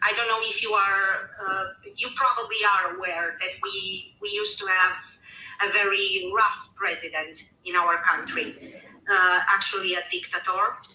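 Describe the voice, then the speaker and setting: In a Romanian accent, the speaker goes at a fairly slow pace with fairly even intonation over noticeable background noise. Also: woman, medium pitch for a woman. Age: 40s. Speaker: caller. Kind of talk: personal testimony.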